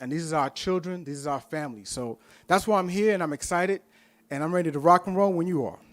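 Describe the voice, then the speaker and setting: On a very clean recording with a silent background, a man speaks very fast in a passionate tone at a high pitch. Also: ordinary pitch variation. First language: Spanish. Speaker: professor, board candidate. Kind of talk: candidate interview at public meeting.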